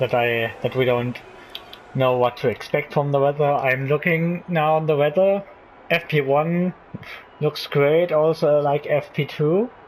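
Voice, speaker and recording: Over noticeable background noise, a man with a non-native accent speaks at a fairly slow pace and a fairly high pitch. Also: ordinary pitch variation, very even loudness. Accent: non-native English speaker. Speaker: gaming YouTuber. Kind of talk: let's play commentary. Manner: halting, many fillers.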